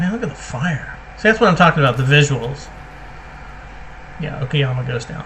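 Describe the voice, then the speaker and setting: Over noticeable background noise, a man talks at a fairly quick pace with lively intonation. He breaks it up with long, frequent pauses. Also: fairly high pitch for a man. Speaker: gaming video creator. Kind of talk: gameplay commentary. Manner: casual, thinking aloud.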